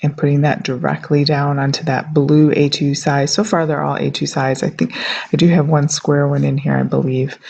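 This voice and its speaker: A woman's very deep, low voice at a moderate pace, with noticeable background noise. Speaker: card-making youtuber. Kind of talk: crafting tutorial. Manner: casual, with fillers.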